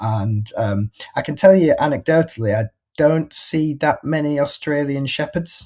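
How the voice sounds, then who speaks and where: A man speaks with a Yorkshire accent and ordinary pitch variation. The recording is very clean, with a silent background. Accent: Yorkshire, northern English. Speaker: pet marketplace breeder relations manager. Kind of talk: presentation of an industry report. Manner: halting, many repetitions and fillers; casual, conversational.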